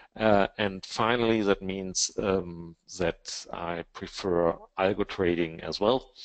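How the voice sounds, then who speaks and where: With a German accent, a man is talking. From Germany. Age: 50s. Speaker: trading educator. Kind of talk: webinar presentation. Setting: online webinar. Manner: halting, many fillers.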